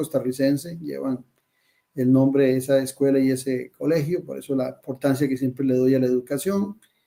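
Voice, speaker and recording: A man with a dark, mellow tone and a fairly high pitch delivers his words at a moderate pace. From Costa Rica. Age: 60s. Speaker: presidential candidate. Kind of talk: interview.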